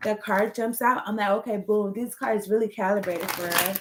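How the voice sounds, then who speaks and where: Using a normal speaking voice, a woman talks at a fairly high pitch with fairly even intonation. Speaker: tarot card reader. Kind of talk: tarot reading. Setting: home recording on laptop. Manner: casual.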